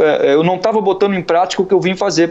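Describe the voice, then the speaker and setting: High-pitched male voice with ordinary pitch variation. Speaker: poet and lyricist; poet, guest. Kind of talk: casual interview. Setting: remote call. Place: home room. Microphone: video call.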